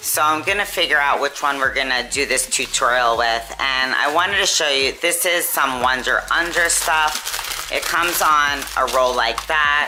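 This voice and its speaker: A woman's very deep, low voice at a moderate pace with ordinary pitch variation and hardly any pauses, amid noticeable background noise and audible room echo. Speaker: sewing YouTuber and nursing home dietitian. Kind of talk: tutorial.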